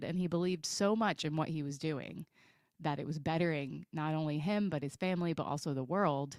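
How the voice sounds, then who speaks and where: A female voice is heard. Behind it the background is silent, and the recording is very clean. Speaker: podcast co-host. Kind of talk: casual chat. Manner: fast talker.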